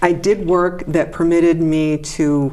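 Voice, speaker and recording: A woman is talking. Her voice sits very deep and low. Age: 60s. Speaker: professor and congressional candidate. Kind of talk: interview. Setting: studio.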